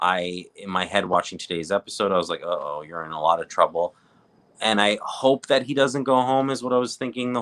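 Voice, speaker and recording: A man's fairly low, bright, sharp voice with a slight Canadian accent, very fast pace and lively intonation, dry and close with no echo. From Canada, Southern Ontario (Greater Toronto Area). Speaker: reality TV recap co-host. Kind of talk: casual chat.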